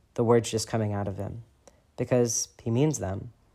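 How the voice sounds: Fairly even intonation in a natural reading voice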